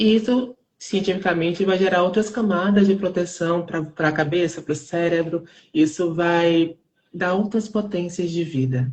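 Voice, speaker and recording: At a fairly slow pace, a woman speaks with a fairly low pitch, ordinary pitch variation and a somewhat breathy quality. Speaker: theater artist. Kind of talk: live interview. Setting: online live stream. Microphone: unstable internet connection.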